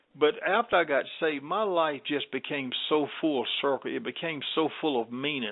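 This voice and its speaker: A man with a Southern US accent speaks at a moderate pace in a fairly high pitch with ordinary pitch variation. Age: 70s. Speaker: gospel singer and minister. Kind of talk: interview.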